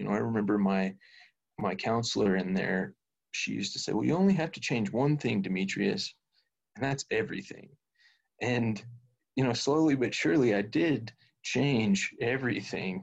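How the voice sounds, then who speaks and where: With vocal fry and lively intonation, a man talks at a moderate pace and medium pitch, leaving long, frequent pauses. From Kentucky. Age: 30s. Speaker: recovery home director. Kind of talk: interview. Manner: halting, repeats words.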